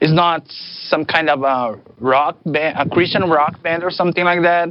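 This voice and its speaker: With a non-native accent, a man talks at a moderate pace. His pitch is high. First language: not English. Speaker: band leader musician.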